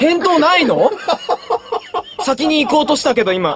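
Against noticeable background noise in a dry recording with no echo, a man with an extremely high pitch speaks at a moderate pace with lively intonation. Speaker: voice actor. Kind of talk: radio talk show banter. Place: studio.

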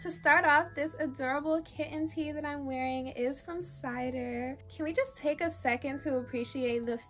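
Over light background noise, a woman speaks at a high pitch with ordinary pitch variation. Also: moderate pace, hardly any pauses. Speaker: lifestyle vlogger. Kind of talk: sponsored haul talk to camera. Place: home room.

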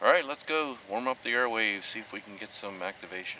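Noticeable background noise accompanies a man whose voice has a dry sound with no echo. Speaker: amateur radio operator. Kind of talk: radio calling and casual aside. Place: forest. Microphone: camera far.

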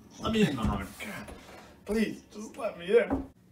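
Music plays in the background. A man talks over it at a moderate pace. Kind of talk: acted comedic pleading. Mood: desperate, urgent pleading. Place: home room. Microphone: phone near.

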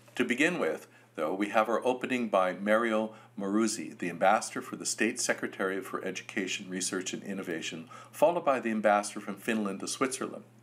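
A man speaks at a very fast pace. His fairly low voice shows ordinary pitch variation. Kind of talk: opening speech. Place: office. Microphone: webcam.

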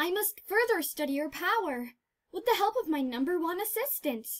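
A put-on character voice at a moderate pace. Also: female-sounding voice, extremely high pitch for a woman. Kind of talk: comic dub voice acting. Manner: excitable, eager.

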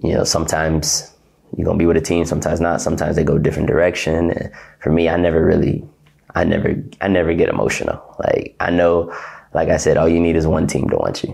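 A man with a very deep, low voice and an American accent talks at a very fast pace, his loudness very even and his intonation fairly even against a quiet background. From Ohio, US. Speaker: professional basketball player. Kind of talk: interview. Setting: hotel apartment. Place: office. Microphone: lapel.

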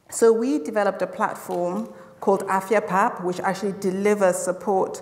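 A woman's monotone, flat delivery at a moderate pace. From Zimbabwe. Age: young. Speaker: health tech founder. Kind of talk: panel discussion. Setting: stage with audience. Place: hall.

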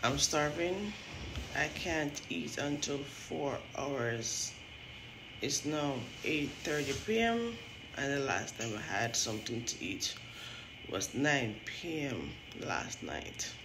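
A woman speaks at a very deep, low pitch, leaving long, frequent pauses. Noticeable background noise is present. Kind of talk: casual vlog chat. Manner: weak, sleepy, slow voice. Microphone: phone near.

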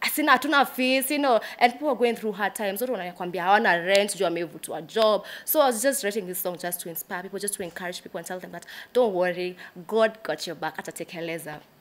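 A woman at medium pitch, fairly quick pace, lively intonation and big swings in loudness. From Kenya. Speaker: gospel singer and songwriter; guest. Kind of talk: casual interview chat. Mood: warm, smiling, earnest. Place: studio.

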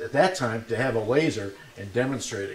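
There's a man speaking at an even, middling speed. You can hear the room echoing around him. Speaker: presenter. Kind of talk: talk to a live audience. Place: classroom.

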